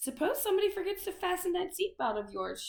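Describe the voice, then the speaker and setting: A put-on character voice, female-sounding and gravelly, races along at a very fast pace with an extremely high pitch. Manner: stern, blunt.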